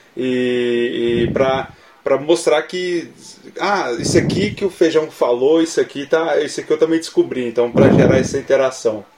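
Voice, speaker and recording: At a moderate pace, a man with a fairly high pitch and ordinary pitch variation speaks over noticeable background noise. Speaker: podcast co-host. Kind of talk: casual chat.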